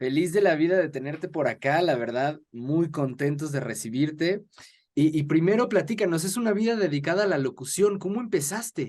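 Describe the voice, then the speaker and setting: A man with an unremarkable speaking voice talks at a fairly high pitch. He keeps a moderate pace with lively intonation. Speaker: interviewer. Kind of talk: podcast host introduction.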